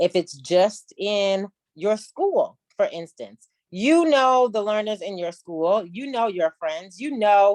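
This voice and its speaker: A normal speaking voice from a woman at a medium pitch, fairly slow in pace with lively intonation, dry and close with no echo. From US South. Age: 40s. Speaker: business consultant. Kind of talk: mentoring talk.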